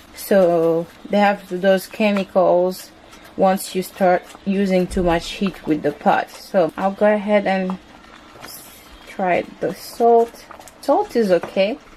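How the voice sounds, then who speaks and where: At a very slow pace, a woman speaks with long, frequent pauses, medium pitch and fairly even intonation. Noticeable background noise runs underneath. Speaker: home cooking vlogger. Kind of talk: cooking tutorial. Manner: casual, conversational.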